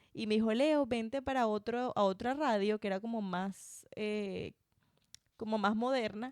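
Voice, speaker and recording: A woman with a plain, everyday voice talks at a fairly slow pace, using a fairly high pitch and fairly even intonation. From Venezuela, Barinas (llanos). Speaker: podcaster and former radio host. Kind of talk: casual interview chat. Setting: home recording.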